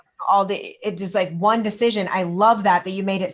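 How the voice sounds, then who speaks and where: An unremarkable speaking voice in an American accent. The pace is moderate and the intonation fairly even. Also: woman. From Kansas. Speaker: podcast host, doctor. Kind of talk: interview.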